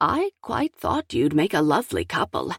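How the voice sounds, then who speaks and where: A woman's put-on character voice at a moderate pace, in a very clean recording with a silent background. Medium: read story. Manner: warm, teasing.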